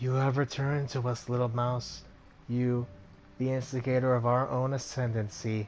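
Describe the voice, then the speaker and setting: Over clear background noise, a man does a put-on character voice with a rumbling, medium-pitched sound, flat monotone delivery, very even loudness and a moderate pace. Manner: unnerving, menacing.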